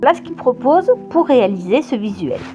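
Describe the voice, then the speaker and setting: Over music in the background, a woman speaks at a high pitch with very wide swings. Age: 50s. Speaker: children's book author. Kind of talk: casual talk to camera.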